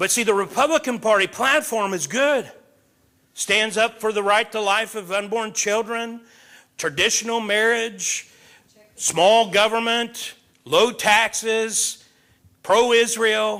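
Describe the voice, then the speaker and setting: A man with a high pitch speaks in a raised, projected voice at a very slow pace, with long, frequent pauses. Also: ordinary pitch variation. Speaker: pastor, Bible teacher. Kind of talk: Bible study teaching with group discussion. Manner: animated, emphatic.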